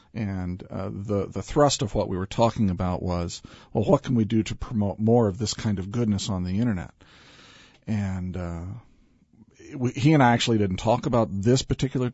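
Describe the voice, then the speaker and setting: This man has an unremarkable speaking voice with fairly low pitch. He talks at a fairly quick pace with ordinary pitch variation. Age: 50s. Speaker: business leader and author. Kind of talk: radio interview.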